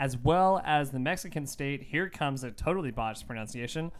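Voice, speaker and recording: A voice with an American accent on a very clean recording with a silent background. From Texas. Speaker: podcast co-host. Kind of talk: casual chat. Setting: home studio in a bedroom.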